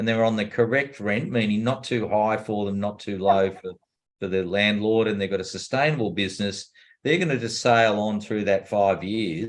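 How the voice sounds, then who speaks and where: A plain, everyday voice moves at a fairly quick pace, its pitch varying in an ordinary way. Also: man. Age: 60s. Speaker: commercial property investor and course teacher. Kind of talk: interview.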